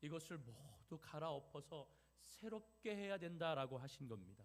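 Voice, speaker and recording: Very wide pitch swings from a man, his delivery fairly slow. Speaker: pastor. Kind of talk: sermon.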